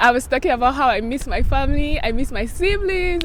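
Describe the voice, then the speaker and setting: A woman speaks in an animated tone over noticeable background noise. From Nigeria, Benue State (Makurdi). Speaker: vlogger. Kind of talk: casual vlog talk.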